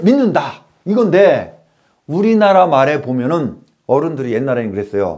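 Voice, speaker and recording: A man speaks at a fairly slow pace in a high voice with very wide pitch swings, over a quiet background. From South Korea. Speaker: lecturer. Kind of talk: lecture. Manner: animated. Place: classroom. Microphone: lapel.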